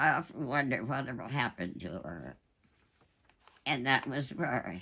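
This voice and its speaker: Very deep and low in pitch, this woman's bright, sharp voice has vocal fry and very wide pitch swings. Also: moderate pace. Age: 80s+. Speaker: war veteran. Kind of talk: interview answer.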